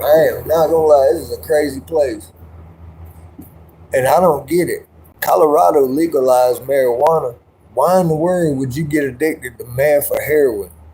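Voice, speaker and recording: A man's somewhat breathy voice with a dark, mellow tone and an American accent, moderate in pace, with ordinary pitch variation and long, frequent pauses. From South Carolina. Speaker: livestreamer. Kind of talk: casual livestream chat.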